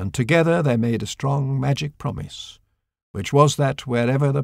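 The reading voice is unforced, with a quiet background behind it.

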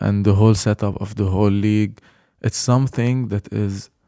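A man's fairly low, dark and mellow voice, fairly even in intonation at a moderate pace, dry with no echo over a quiet background. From Lebanon. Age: 20s. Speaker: professional basketball player; podcast guest. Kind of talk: casual chat. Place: home room. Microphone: studio mic.

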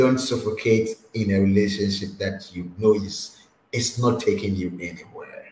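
Some room echo and light background noise surround a man speaking at a moderate pace with a fairly low pitch. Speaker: online talk show host. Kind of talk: interview. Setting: video call. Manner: animated, laughs often. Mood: warm, smiling, advising.

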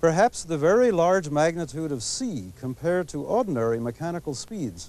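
At a moderate pace, a man with a high pitch and a dark, mellow tone makes very wide pitch swings, the sound dry with no echo. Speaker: TV presenter. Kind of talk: lecture. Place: garden. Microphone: lapel.

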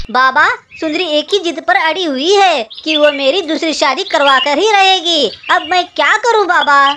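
This cartoonish character voice is high-pitched and moves at a moderate pace. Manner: pleading, distressed.

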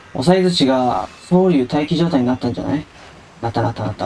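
Over noticeable background noise, a man speaks fairly quickly at a medium pitch with very wide pitch swings. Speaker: game streamer. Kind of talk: casual gameplay commentary.

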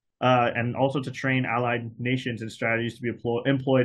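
This man's medium-pitched voice stays monotone and flat as he talks at a fairly quick pace. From Hawaii. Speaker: speaker. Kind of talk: webinar talk. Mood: earnest, critical. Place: home room. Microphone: webcam.

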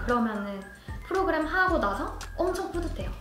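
A woman's raised, projected voice at a moderate pace, with audible room echo and faint music in the background. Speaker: forest kindergarten instructor. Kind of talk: interview answer. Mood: cheerful, smiling, laughs. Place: studio. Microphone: lapel.

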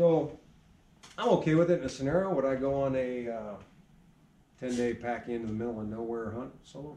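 A man talks at a fairly quick pace but with long, frequent pauses. His loudness swings widely, and audible room echo fills the space. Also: medium pitch for a man, ordinary pitch variation. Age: 40s. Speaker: archery shop owner. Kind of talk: casual chat. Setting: archery shop. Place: shop. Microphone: camera far.

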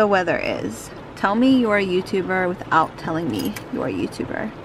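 Over noticeable background noise, a woman speaks at a moderate pace with lively intonation, the sound dry with no echo. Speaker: family vlogger. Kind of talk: casual vlog chat. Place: car.

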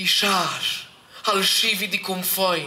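A man uses a raised, projected voice at a very slow pace, with audible room echo around him. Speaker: poetry reader. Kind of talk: poetry reading. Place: hall. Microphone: camera far.

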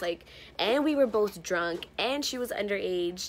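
A woman with an American accent at a moderate pace, over light background noise. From San Francisco, US West Coast. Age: 20s. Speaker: YouTuber. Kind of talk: casual vlog Q&A. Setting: friend's house. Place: home room. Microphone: phone near.

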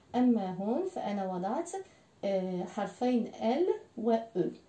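A woman with a fairly high voice speaks very slowly, her words carrying an audible room echo. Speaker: French language teacher. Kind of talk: language lesson. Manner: slow, repeating words for learners. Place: home room. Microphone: camera far.

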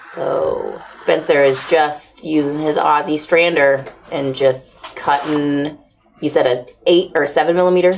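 A woman's very deep, low voice at a fairly slow pace, with light background noise. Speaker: livestream host for leather supply company. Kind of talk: casual chat. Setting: studio livestream. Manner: animated. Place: workshop.

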